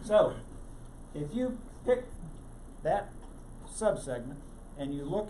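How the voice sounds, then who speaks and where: Male speech carrying audible room echo, set against noticeable background noise. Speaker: tech meetup presenter. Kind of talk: technical presentation. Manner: fast.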